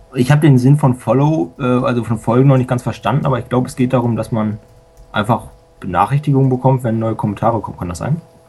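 Speech runs at a very fast pace. Noticeable background noise is present throughout. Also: man, medium pitch for a man, ordinary pitch variation. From Lower Saxony, Germany. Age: young. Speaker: school student and software hobbyist. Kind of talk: casual radio interview.

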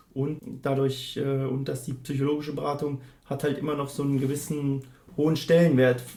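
Against noticeable background noise, a man with a fairly high pitch speaks at a moderate pace in a monotone, flat intonation. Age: 30s. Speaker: student counsellor. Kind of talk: interview. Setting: office.

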